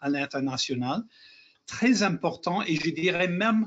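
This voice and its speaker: Speaking with an English accent, a man uses a high pitch and a fairly slow pace. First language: English (speaking French). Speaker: lawyer, president of international lawyers' association. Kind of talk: webinar panel discussion. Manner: halting, self-correcting.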